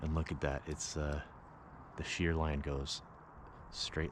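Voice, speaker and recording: Flat and monotone, a man speaks at a very deep, low pitch with noticeable background noise behind him. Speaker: camping vlogger. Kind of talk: casual vlog narration. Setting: outdoors at a campground. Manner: soft-spoken.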